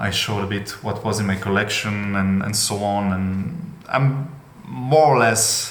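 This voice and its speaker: Over noticeable background noise and audible room echo, a man speaks at a fairly low pitch. His pitch varies in an ordinary way. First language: not English. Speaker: trading card collector, channel owner. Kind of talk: casual monologue video. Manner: hesitant, many fillers.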